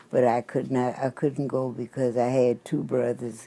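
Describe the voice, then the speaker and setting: With a Southern US accent, a woman speaks at a fairly slow pace. Her pitch is very deep and low, and her tone is dark and mellow. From Louisiana. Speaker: trained nurse's aide. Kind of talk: interview answer.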